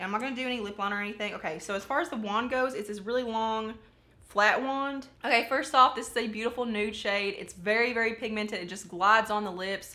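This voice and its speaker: With a bright, sharp tone and a fairly high pitch, a woman talks at a very fast pace with ordinary pitch variation amid audible room echo. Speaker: beauty YouTuber. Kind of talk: makeup tutorial try-on haul. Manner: casual, chatty with filler words; words run together.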